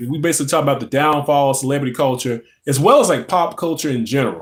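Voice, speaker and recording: Talking at a very fast pace with a Louisiana accent, a man uses a fairly high pitch and ordinary pitch variation. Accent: Southern US (Louisiana). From North Louisiana, US South. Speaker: pop culture live streamer. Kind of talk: casual live stream chat. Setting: live stream at home in a recliner. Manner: halting, many fillers.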